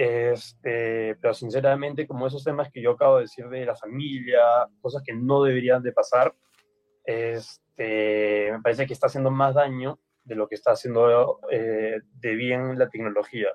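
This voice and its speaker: A man speaks at a moderate pace in a medium pitch with ordinary pitch variation. He has a normal speaking voice with big swings in loudness. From Peru. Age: young. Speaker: university student. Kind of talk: radio panel discussion.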